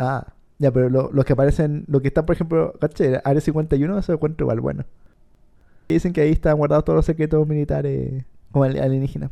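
With a Chilean accent, a man speaks at a fairly high pitch in a dark, mellow tone and fairly even intonation. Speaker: podcast co-host. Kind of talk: reading aloud; casual chat.

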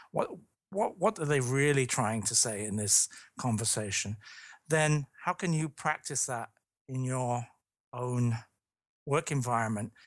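A man's medium-pitched voice with a British accent, fairly slow, with long, frequent pauses, ordinary pitch variation and a dry, close sound with no echo. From London, England. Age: 50s. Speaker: leadership consultant and author. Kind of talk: podcast interview. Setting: remote call.

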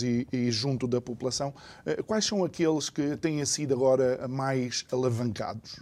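A man's dark, mellow tone at a fairly slow pace, with fairly even intonation and very even loudness. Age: 40s. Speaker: radio and TV talk show host. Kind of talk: talk show interview. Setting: studio, simulcast TV and radio.

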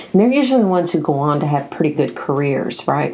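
A woman with a very deep, low pitch and an American accent, in a room with audible echo. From US South, Nashville, Tennessee. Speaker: podcast host. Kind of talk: book review monologue.

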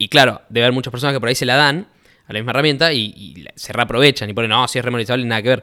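Speaking at a very fast pace, a man with a medium pitch and a bright, sharp tone shows big swings in loudness. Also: ordinary pitch variation, very clean recording, silent background. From Argentina, Rosario. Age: 20s. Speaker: youtuber. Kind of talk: casual chat.

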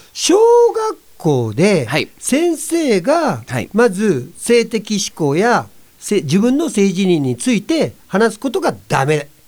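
A man's high voice, very slow, with very wide pitch swings. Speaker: entertainer, actor and rakugo performer. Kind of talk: casual chat.

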